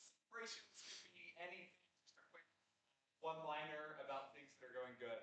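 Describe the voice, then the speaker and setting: Over audible room echo, a man with a fairly high pitch and a bright, sharp tone speaks at a moderate pace with ordinary pitch variation. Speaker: recovery community leader. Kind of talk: announcements at a gathering. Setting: community gathering room with microphones. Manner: loud.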